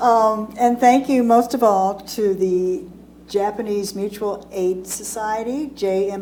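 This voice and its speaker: A woman talks at a fairly slow pace with audible room echo around her. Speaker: hospice association executive director, panelist. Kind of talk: seminar panel presentation. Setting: seminar room with live audience. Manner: loud.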